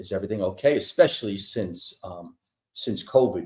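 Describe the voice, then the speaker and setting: Lively intonation and a dark, mellow tone mark a man speaking at a moderate pace with a New York accent. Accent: New York accent, noticeable. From New York, Brooklyn. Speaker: entertainer singer for senior communities. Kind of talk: casual interview.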